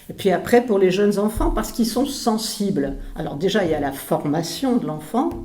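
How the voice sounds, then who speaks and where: A woman speaking at a fairly slow pace, with audible room echo and noticeable background noise. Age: 70s. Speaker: retired pulmonologist. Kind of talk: interview. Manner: halting, many hesitations.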